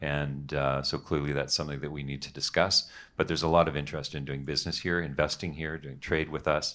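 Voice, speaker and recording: A man with a very deep, low pitch, vocal fry and a bright, sharp tone speaks at a fairly quick pace with hardly any pauses. His intonation is monotone and flat, on a very clean recording with a silent background. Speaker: panelist.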